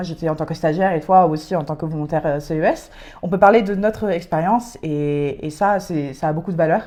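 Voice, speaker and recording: A woman with a fairly low pitch speaks at a fairly quick pace, her pitch varying in an ordinary way, against noticeable background noise. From France and Britain. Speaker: podcast co-host, civic service volunteer. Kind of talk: casual chat. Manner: hesitant, many fillers.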